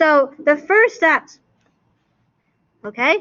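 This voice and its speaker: A woman speaks very slowly with a high pitch. Her intonation is lively. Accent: non-native. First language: not English. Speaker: math teacher. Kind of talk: classroom lecture.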